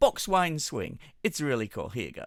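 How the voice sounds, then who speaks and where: This man speaks with an English accent, lively intonation and a moderate pace. The sound is dry and close with no echo, on a very clean recording with a silent background. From England. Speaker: radio show host. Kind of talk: radio presenting. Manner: casual, chatty.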